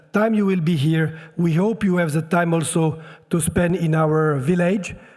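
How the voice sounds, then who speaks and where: A high-pitched man talks at a moderate pace and fairly even intonation while noticeable noise sits in the background. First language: French. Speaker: local government official. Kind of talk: welcome speech. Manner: halting, many hesitations.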